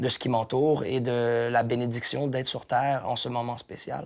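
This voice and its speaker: In a Quebec accent, a man speaks at medium pitch and a moderate pace. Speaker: hip-hop artist and painter. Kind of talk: casual interview. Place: home room. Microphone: lapel.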